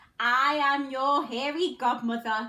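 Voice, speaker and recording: A loud, put-on character voice, female-sounding and high in pitch, at a fairly slow pace. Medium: read story.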